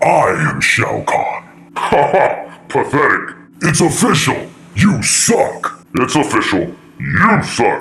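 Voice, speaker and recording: This man puts on a character voice, talking at a very slow pace broken by long, frequent pauses. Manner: menacing and taunting.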